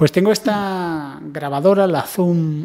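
In a quiet background, a man's words come out at a very slow pace. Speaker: tech vlogger. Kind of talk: casual vlog chat. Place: home room. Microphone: handheld.

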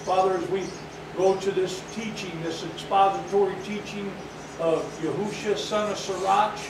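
A man with a high voice speaks at a moderate pace in a flat monotone. Audible room echo and noticeable background noise are present. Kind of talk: sermon. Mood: reverent, earnest. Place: hall. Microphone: camera far.

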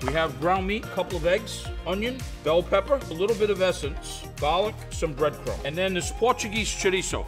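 Over clear music in the background, a man talks in an upbeat, enthusiastic tone at a moderate pace with hardly any pauses. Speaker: chef. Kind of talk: infomercial cooking demonstration. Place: studio. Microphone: lapel.

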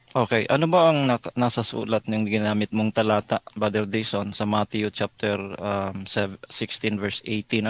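A man uses a normal speaking voice at a fairly low pitch, going at a fairly slow pace with hardly any pauses and fairly even intonation, in a dry, close sound with no echo and a quiet background. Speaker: Baptist pastor debater. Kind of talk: religious debate.

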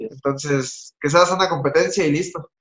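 Fairly even intonation from a man. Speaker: remote guest. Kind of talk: interview answer. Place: home room. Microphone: video call.

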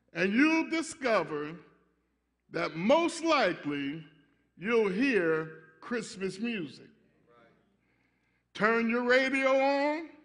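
A man speaks at a very slow pace with very wide pitch swings and long, frequent pauses against a quiet background. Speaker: pastor. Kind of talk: sermon. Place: church. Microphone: podium.

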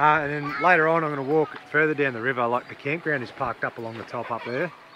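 A man talks very fast with ordinary pitch variation, the sound dry with no echo and music playing in the background. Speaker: travel vlogger. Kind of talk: casual vlog chat. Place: waterside. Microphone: phone near.

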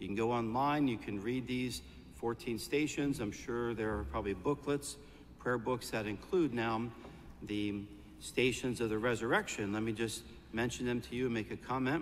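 A man at a moderate pace, ordinary pitch variation, light background noise. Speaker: priest. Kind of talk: sermon. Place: church.

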